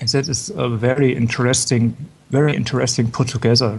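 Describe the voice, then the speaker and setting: Over noticeable background noise, a man with a strong German accent talks fairly quickly at a medium pitch with fairly even intonation. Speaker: fashion show commentator. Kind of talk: live show commentary. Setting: live broadcast.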